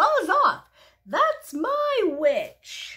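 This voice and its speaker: This is a put-on character voice at an extremely high pitch. It sounds croaky, growling and shrill. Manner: menacing, fierce.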